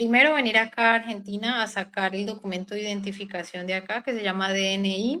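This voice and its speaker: Fairly even intonation in a woman's voice at medium pitch. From Colombia, Huila. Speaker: doctor. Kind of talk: interview. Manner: hesitant.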